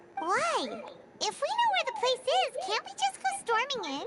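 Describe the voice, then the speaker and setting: Loud background noise sits behind a squeaky, put-on character voice at an extremely high pitch. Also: moderate pace. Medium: video game.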